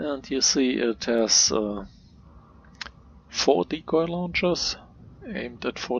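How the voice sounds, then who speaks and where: In a non-native accent, the speaker goes at a very slow pace with noticeable background noise behind. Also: man. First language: not English. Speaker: video game tutorial creator. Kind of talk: gameplay commentary. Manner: hesitant, many filler words.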